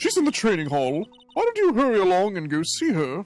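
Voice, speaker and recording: Over faint music in the background, a man does a put-on character voice at a high pitch and a fairly quick pace. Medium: game stream.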